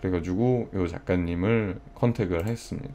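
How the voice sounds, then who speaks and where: In a dark, mellow tone, a man speaks with ordinary pitch variation. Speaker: livestreamer. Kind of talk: casual chat. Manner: animated.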